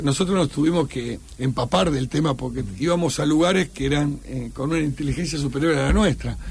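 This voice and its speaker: With an Argentine accent, a man speaks at a fairly quick pace with hardly any pauses, in a fairly high pitch with ordinary pitch variation. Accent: Rioplatense Argentine Spanish. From Argentina. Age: 50s. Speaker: war veteran. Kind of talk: radio interview. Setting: studio.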